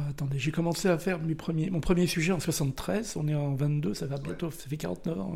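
A man speaks at a moderate pace and a fairly high pitch. His voice is somewhat breathy, with a dark, mellow tone. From Brittany, France. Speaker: war photographer. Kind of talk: casual chat.

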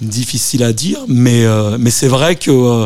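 His voice sits in the middle range, and its pitch rises and falls in a normal way. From Japan (Tokyo), French family. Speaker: DJ and compilation curator. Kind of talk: radio interview. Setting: radio studio. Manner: halting, many fillers and repetitions.

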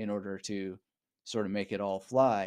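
On a very clean recording with a silent background, a man talks at a moderate pace with a Canadian accent. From Canada, Vancouver area (British Columbia). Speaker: author and memory coach. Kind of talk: casual interview.

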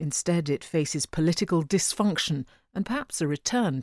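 An unremarkable speaking voice with lively intonation at a moderate pace. The sound is dry and close, with no echo. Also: woman. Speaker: newsreader. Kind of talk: news reading, crisp and measured, like a broadcast bulletin. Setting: studio. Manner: formal, steady, polished.

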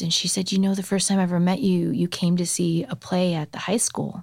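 With an American accent, a woman uses an unremarkable speaking voice, fairly low in pitch, with fairly even intonation at a fairly quick pace. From suburbs of Chicago. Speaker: singer-songwriter. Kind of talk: casual interview chat. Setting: studio.

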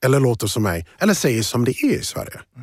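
A man's medium-pitched, somewhat breathy voice moves through very wide pitch swings. The sound is dry and close with no echo, in a very clean recording with a silent background. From USA, moved to Sweden at 12. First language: English (speaking Swedish). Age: 40s. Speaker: finance professional and diversity advocate. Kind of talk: interview conversation.

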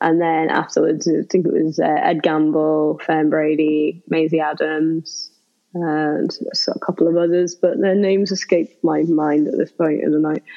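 Speech comes with a Liverpool accent at a moderate pace. The loudness stays very even, and the intonation is monotone and flat. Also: woman, very deep, low pitch for a woman. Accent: Liverpool (Scouse) English. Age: 30s. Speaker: comedian and burlesque performer. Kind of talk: casual chat.

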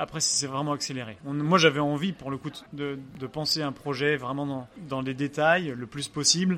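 This man talks at a fairly quick pace, his fairly high pitch moving with ordinary variation. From France, Angers (Pays de la Loire). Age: 30s. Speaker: restaurant owner and pastry chef. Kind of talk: interview. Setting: restaurant during service. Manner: halting.

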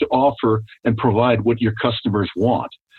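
At a moderate pace, a man with an unremarkable speaking voice talks at a medium pitch. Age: 60s. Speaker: business owner and author. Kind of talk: interview.

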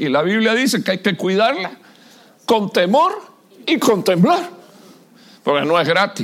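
The speaker moves at a fairly slow pace. The pitch swings very widely. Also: man. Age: 60s. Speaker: pastor. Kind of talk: sermon. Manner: animated.

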